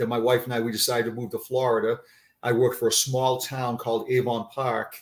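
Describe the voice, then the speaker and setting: Somewhat breathy and monotone, a man with a Boston accent talks at a fairly quick pace and medium pitch on a very clean recording with a silent background. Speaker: retired police sergeant. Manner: hesitant, many fillers.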